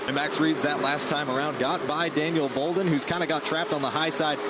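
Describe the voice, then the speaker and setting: Noticeable background noise sits behind a man speaking at a very fast pace with a fairly high pitch. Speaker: racing play-by-play announcer. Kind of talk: live sports play-by-play commentary. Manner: fast, energetic.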